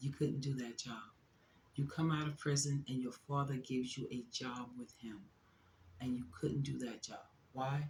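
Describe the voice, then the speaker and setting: At a moderate pace, a woman speaks with a very deep, low pitch, a somewhat breathy quality and ordinary pitch variation. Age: 60s. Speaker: YouTube reaction commentator. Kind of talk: reaction commentary monologue. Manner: animated.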